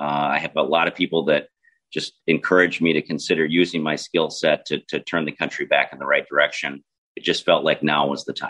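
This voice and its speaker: A man with a Minnesota accent at a fairly quick pace, in a dry, close sound with no echo. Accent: Minnesota, Upper Midwest. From southern Minnesota. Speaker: congressional candidate and agricultural lawyer. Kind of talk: political interview.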